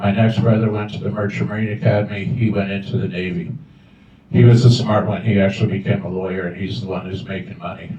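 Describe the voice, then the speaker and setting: Against noticeable background noise and audible room echo, a man talks at a fairly low pitch. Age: 70s. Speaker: school board candidate, army veteran. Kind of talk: candidate forum answers. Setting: open house with audience.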